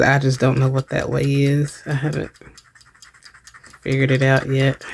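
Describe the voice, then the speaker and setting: A quiet woman's voice, very deep and low in pitch, at a fairly quick pace. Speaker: craft video creator. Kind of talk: craft tutorial narration. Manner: casual, hesitant with fillers; quiet while crafting.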